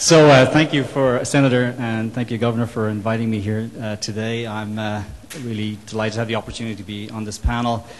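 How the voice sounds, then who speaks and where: Very fast, fairly even speech from a man at medium pitch with an Irish accent, big swings in loudness, and noticeable background noise. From Ireland. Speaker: solar company executive. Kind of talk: panel discussion. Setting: roundtable event. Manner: halting, many repetitions and fillers.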